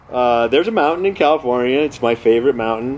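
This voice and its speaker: Against noticeable background noise, a man speaks in a relaxed tone at a medium pitch. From California. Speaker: amateur mountaineer and storyteller. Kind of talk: casual storytelling to camera. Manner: conversational, relaxed.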